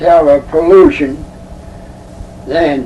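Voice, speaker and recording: A man speaks with an American accent. There is noticeable background noise behind him. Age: 80s+. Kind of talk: interview answer. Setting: home recording.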